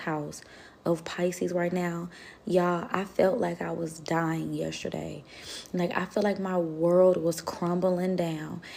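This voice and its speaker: A woman speaks in a calm tone at a fairly low pitch. Her intonation is monotone and flat, and her pace is fairly slow. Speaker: tarot reader. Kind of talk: tarot reading livestream, casual.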